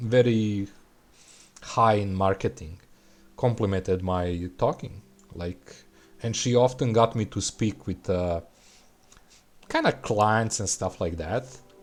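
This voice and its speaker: In a Serbian accent, a man speaks at a very slow pace with long, frequent pauses and ordinary pitch variation. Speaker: gaming streamer. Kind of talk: live game stream chat. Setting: live stream. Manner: casual, halting.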